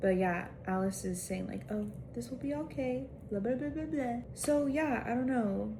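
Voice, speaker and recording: Amid noticeable background noise and audible room echo, a woman of medium pitch speaks at a moderate pace with very wide pitch swings. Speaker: book vlogger. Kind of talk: casual vlog talk to camera. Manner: casual, filler-heavy.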